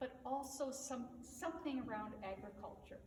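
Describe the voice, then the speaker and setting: A woman speaks fairly slowly at a high pitch. Room echo is audible, along with noticeable background noise. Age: 60s. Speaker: equine therapy practitioner. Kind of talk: motivational talk. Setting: on horseback at a ranch. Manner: hesitant, many filler words.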